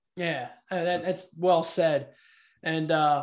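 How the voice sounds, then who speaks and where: A man speaks in a normal speaking voice, pitched fairly high. His intonation is fairly even, and the background is quiet. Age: 50s. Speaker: podcast host. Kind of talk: casual interview.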